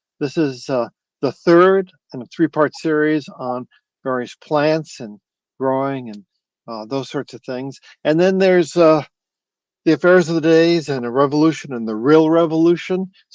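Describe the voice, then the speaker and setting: In a dry, close sound with no echo and a quiet background, a man speaks at a moderate pace and a fairly high pitch with ordinary pitch variation, big swings in loudness, and long, frequent pauses. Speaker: interview host. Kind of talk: interview host introduction. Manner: enthusiastic.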